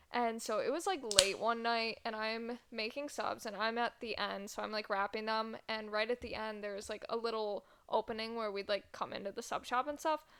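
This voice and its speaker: Someone with an American accent speaks at a moderate pace with fairly even intonation over noticeable background noise. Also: woman, fairly high pitch for a woman. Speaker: podcast co-host. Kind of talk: casual chat.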